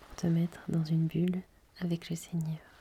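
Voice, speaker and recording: At a moderate pace, a woman with a fairly low pitch speaks in a somewhat breathy, calm, soothing, dark and mellow tone, her intonation monotone and flat. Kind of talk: podcast introduction.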